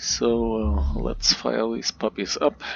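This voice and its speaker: A man with a non-native accent speaks at a fairly slow pace and a fairly low pitch. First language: not English. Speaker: video game tutorial creator. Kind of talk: gameplay commentary. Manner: hesitant, many filler words.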